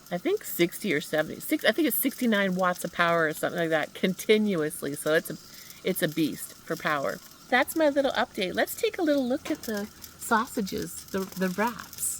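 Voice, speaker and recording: Noticeable background noise surrounds a woman speaking fairly quickly at a medium pitch. Her animated tone carries very wide pitch swings. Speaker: van life vlogger. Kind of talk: casual vlog narration. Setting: outdoors at a mountain lake campsite. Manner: chatty, animated.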